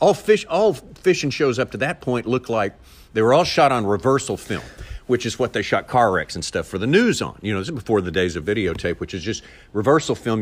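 A man's medium-pitched voice with a Southern US accent, very fast and with very wide pitch swings. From Arkansas, US South. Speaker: TV fishing show narrator and voiceover artist. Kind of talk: casual interview.

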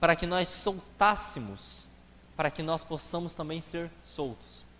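The man's pitch sits fairly high. He talks at a fairly slow pace. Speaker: preacher. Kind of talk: sermon. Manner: earnest, explanatory preaching pace, repeating phrases for emphasis; addresses listeners directly and asks rhetorical questions.

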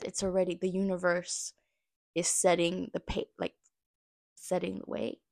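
The speech moves at a fairly slow pace, with a dry, close sound and no echo. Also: woman. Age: 30s. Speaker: podcast host. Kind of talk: casual solo monologue. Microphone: new small budget mic.

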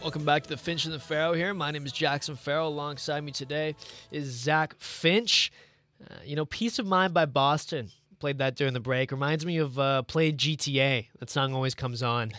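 A man talks with a bright, sharp tone. His pace is moderate and his pitch variation ordinary. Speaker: radio co-host. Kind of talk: casual sports chat. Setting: radio studio. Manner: conversational, laid-back, joking.

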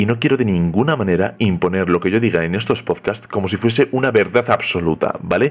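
With a fairly low pitch, a man talks at a fairly quick pace with lively intonation, very even loudness and hardly any pauses. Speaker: podcast host. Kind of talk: podcast intro monologue. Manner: talkative, nonstop.

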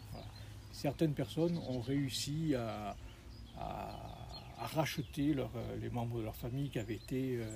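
A man speaks at a fairly slow pace. Long, frequent pauses break up his speech. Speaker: local host guiding hikers. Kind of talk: casual chat. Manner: hesitant.

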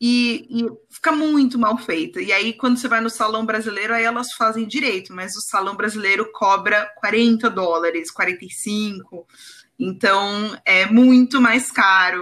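Speaking at a fairly slow pace, a woman has a plain, everyday voice with a fairly high pitch and ordinary pitch variation. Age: 30s. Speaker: copywriter. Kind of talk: casual chat.

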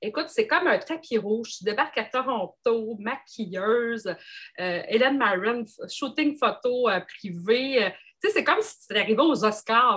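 With a Quebec accent, a woman speaks at a fairly slow pace in a fairly high pitch, her tone bright and sharp and her intonation lively. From Quebec, Gaspésie. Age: 40s. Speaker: engineer and entrepreneur. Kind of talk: casual interview chat.

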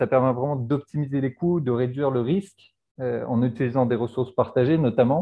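A man's medium pitch moves with ordinary variation as he talks at a moderate pace. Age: 30s. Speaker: entrepreneur. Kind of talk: monologue portrait interview. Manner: hesitant with many fillers and repetitions.

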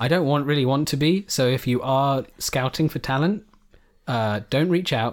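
A plain, everyday voice from a man, fairly high in pitch, with ordinary pitch variation, very even loudness and a moderate pace. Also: very clean recording, silent background. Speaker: podcast co-host. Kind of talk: casual chat. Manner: joking.

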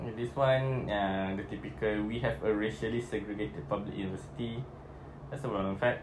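With a Malaysian accent, a man talks at a fairly quick pace in a fairly low voice with lively intonation. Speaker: podcast host. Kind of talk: casual chat.

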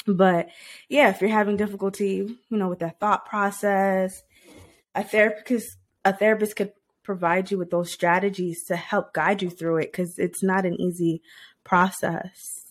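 Heard on a very clean recording with a silent background, a woman keeps fairly even intonation at a moderate pace in a normal speaking voice. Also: medium pitch for a woman. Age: 30s. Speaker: podcast host. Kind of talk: solo motivational talk. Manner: casual with frequent fillers.

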